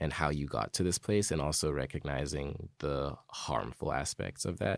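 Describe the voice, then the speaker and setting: A man with an American accent speaks at a moderate pace, showing vocal fry and ordinary pitch variation. The sound is dry and close with no echo, on a very clean recording with a silent background. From Zimbabwe, Harare; early childhood in New Jersey. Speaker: college student. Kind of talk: interview storytelling. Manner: halting at times.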